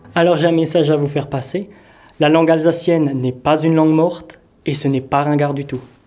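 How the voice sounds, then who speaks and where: A man speaks at a fairly quick pace in a dark, mellow tone with flat, monotone intonation. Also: fairly high pitch for a man. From Alsace, France. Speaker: Alsatian language advocate and amateur actor. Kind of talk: interview monologue.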